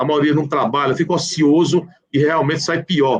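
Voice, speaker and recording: A man with a normal speaking voice, a fairly high pitch and a moderate pace. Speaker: public prosecutor and law professor. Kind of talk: live online legal discussion. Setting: live video call.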